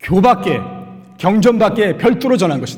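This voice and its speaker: A man speaks at a moderate pace in a high voice. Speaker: Buddhist monk giving dharma talk. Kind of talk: sermon. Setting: Sunday dharma service.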